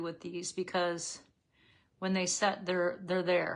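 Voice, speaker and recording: A woman speaks at a moderate pace in a plain, everyday voice, pitched in a medium range. The background is quiet. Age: 60s. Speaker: makeup seller and lifestyle vlogger. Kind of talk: live makeup tutorial with casual chat. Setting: livestream. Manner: casual, conversational.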